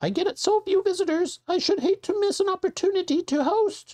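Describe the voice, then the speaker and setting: This put-on character voice is squeaky and raspy at an extremely high pitch. It moves at a fairly quick pace. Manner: fussy, hospitable.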